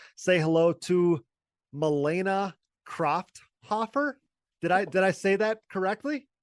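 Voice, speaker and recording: With an Upper Midwest accent, a man speaks at a high pitch in an animated tone with lively intonation. His pace is fairly slow, his loudness very even, and the sound dry and close with no echo. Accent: Upper Midwest American. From Wisconsin. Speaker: podcast host, former ATV racer. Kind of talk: podcast interview.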